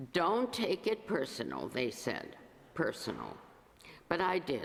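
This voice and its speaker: A woman at a very slow pace, with very wide pitch swings and vocal fry. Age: 80s+. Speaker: lay congregation member reading poetry. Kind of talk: introduction and poetry reading at a church service. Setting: church service before congregation. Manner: halting, with filler sounds.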